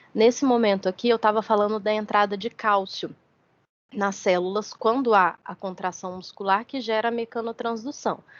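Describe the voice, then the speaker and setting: Here is an ordinary speaking voice from a woman with a fairly high pitch. She keeps her intonation fairly even at a moderate pace. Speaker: university lecturer. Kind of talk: lecture.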